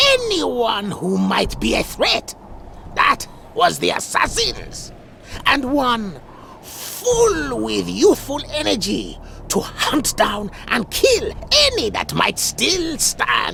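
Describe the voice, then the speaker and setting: Clear background noise behind a very slow put-on character voice. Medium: video game. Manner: expository, knowing.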